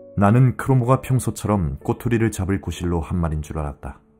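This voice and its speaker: Music plays in the background as a man with a fairly low voice speaks at a moderate pace. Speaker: audiobook narrator. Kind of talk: audiobook reading for sleep.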